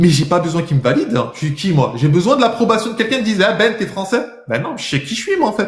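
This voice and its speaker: A man talks with lively intonation and an animated tone. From France. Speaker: livestreamer debating viewers. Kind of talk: heated debate.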